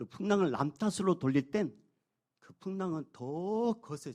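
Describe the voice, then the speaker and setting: A man's dark, mellow voice in a dry, close sound with no echo. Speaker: senior pastor. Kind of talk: sermon. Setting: church.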